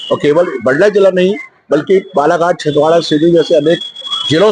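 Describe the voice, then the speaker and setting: Over noticeable background noise, a man with a high voice speaks at a moderate pace with ordinary pitch variation. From Mandla, Madhya Pradesh, India. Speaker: local resident. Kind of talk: interview.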